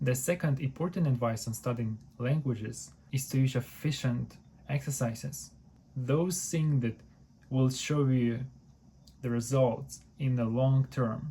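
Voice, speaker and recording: With a Ukrainian accent, a man speaks fairly slowly at a medium pitch, his voice somewhat breathy, his intonation fairly even and his loudness very even, leaving long, frequent pauses. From Ukraine. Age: 20s. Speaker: university student and language learner. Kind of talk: tutorial.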